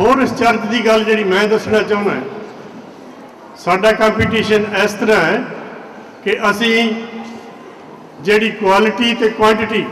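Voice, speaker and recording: A man with a high pitch, monotone, flat intonation and very even loudness, against noticeable background noise. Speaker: school representative. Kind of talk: public speech at school event.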